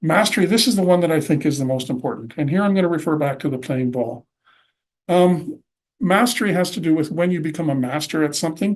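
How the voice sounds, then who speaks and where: In a Canadian prairie accent, a man talks at a very fast pace. His pitch is fairly high and his intonation lively. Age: 60s. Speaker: presenter. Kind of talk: lecture.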